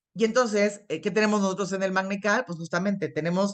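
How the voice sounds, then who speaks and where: A woman talks at a fairly quick pace. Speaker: internist and nutrition expert. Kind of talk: lecture. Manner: fast.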